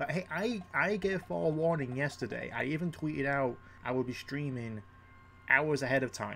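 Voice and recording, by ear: At a moderate pace, a man with a medium pitch and ordinary pitch variation sounds croaky, with vocal fry and a bright, sharp tone.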